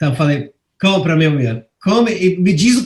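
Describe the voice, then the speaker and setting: The man's high-pitched voice moves in very wide pitch swings. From England. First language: English (speaking Portuguese). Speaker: journalist. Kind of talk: interview. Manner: halting, frequent repetitions.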